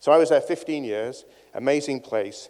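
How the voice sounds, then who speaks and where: A man talks in a northern English accent. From northern England. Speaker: cancer researcher and professor. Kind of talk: conference talk. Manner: animated.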